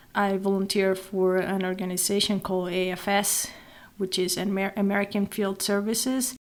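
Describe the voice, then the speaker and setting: A woman with a Venezuelan accent, medium in pitch, at a moderate pace, with monotone, flat intonation. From Venezuela, Maracaibo. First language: Spanish. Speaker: nonprofit executive director. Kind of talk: interview.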